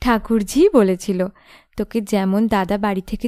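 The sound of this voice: This voice reads aloud. It is an unforced reading voice.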